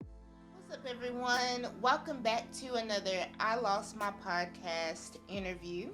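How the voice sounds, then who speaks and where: A woman's medium-pitched voice at a very slow pace, with hardly any pauses, big swings in loudness, ordinary pitch variation, and music in the background. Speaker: podcast host; author. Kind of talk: podcast interview.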